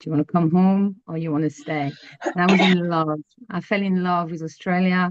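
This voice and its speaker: Fairly low-pitched female voice in a French accent, moderate pace, fairly even intonation, dry and close with no echo. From France. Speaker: astrologer. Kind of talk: interview. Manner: hesitant, many fillers and repeats.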